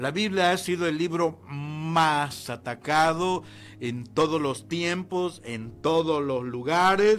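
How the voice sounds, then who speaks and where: A man's very slow speech, fairly high in pitch with ordinary pitch variation. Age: 60s. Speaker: pastor. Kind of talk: sermon. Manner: halting.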